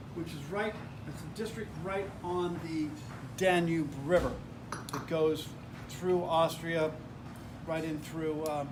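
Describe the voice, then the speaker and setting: In an American accent, a man speaks at a fairly slow pace and a high pitch with ordinary pitch variation, with audible room echo. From United States. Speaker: wine tasting instructor. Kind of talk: tasting class lecture.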